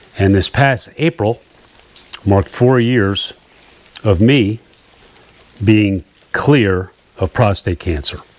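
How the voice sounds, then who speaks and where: Over noticeable background noise, a man with fairly low pitch speaks at a very slow pace with ordinary pitch variation and long, frequent pauses. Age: 60s. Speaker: fishing YouTuber. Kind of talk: personal testimony vlog. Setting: outdoors at a camp in rain.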